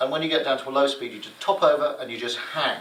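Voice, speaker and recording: Noticeable background noise runs through the clip. Audible room echo surrounds the voice. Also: man. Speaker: gliding instructor. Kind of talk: lecture. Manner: animated.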